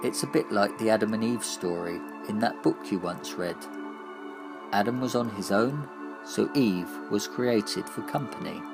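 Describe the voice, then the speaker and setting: Music plays behind a man with a very deep, low pitch. His voice makes very wide pitch swings, broken by long, frequent pauses. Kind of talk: dark surreal monologue reading, addressing the listener as 'you'. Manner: calm, slow, soothing.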